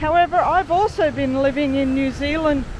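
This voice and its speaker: Over noticeable background noise, a woman with an Australian accent speaks at a fairly slow pace and a high pitch, with ordinary pitch variation. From Australia, Sydney. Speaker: travel vlogger. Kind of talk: casual chat. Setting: outdoors.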